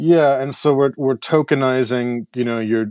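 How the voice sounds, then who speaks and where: In a dry, close recording with no echo, a man with an ordinary speaking voice talks at a moderate pace, his pitch varying in an ordinary way. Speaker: AI compute startup founder and songwriter. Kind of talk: casual chat.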